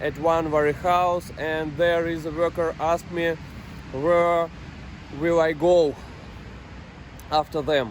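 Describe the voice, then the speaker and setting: With a non-native accent, a man speaks at a fairly high pitch and a very slow pace. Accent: non-native English, imperfect pronunciation. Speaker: truck driver. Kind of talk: personal vlog monologue. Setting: parked truck in France. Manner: halting, many fillers.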